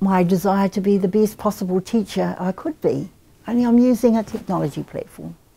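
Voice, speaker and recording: Somewhat breathy and dark, mellow in tone, a woman talks at a fairly quick pace with a medium pitch and ordinary pitch variation. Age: 60s. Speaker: Māori language teacher and academic. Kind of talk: interview.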